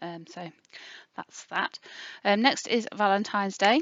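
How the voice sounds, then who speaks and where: A woman with an English accent and fairly even intonation. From England. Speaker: budgeting youtuber. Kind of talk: casual budgeting tutorial. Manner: chatty, with many fillers.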